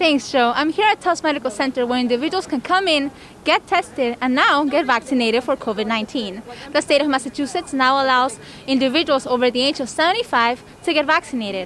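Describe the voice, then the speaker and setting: Over noticeable background noise, a woman talks at a very fast pace in a high pitch with lively intonation. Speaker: reporter, multimedia journalist. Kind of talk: TV news stand-up report.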